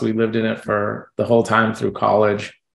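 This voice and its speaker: A man with an American accent talks at a fairly quick pace. His fairly low voice carries vocal fry. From New Jersey, Jersey City. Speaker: fund manager. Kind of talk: interview. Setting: video call.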